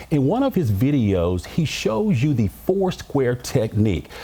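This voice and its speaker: With an American accent, a man speaks at a fairly slow pace. His voice is somewhat breathy and his pitch swings very widely. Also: medium pitch for a man. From American, Memphis, Tennessee. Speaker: TV news reporter and anchor. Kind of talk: TV news anchor delivery.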